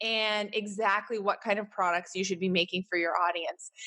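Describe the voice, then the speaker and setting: Against a quiet background, a woman with a Canadian accent speaks in a bright, sharp tone. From Canada. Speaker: podcast host, business strategist. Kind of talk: solo podcast monologue. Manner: casual, conversational.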